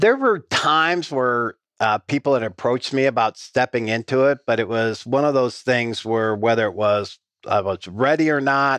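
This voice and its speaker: Over a quiet background, a man with an American accent talks at a moderate pace and a medium pitch, his intonation lively and the sound dry and close with no echo. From rural Iowa, US Midwest. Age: 50s. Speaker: insurance company CEO. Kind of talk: interview.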